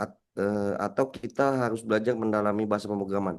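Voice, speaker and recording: Ordinary pitch variation and a very fast pace from a male speaker. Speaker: cybersecurity instructor. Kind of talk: Q&A in an online class. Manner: halting, many fillers and repeats.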